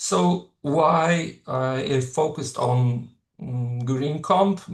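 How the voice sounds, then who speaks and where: With lively intonation, a man talks at a very slow pace in a fairly high pitch. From Slovenia. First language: Slovenian. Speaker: professor. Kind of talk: lecture. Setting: webinar. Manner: halting, many fillers.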